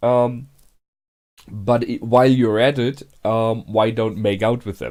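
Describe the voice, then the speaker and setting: Man with a non-native accent, medium-pitched for a man, on a very clean recording with a silent background. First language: not English. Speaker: anime reaction youtuber. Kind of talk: casual reaction commentary. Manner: hesitant, many fillers.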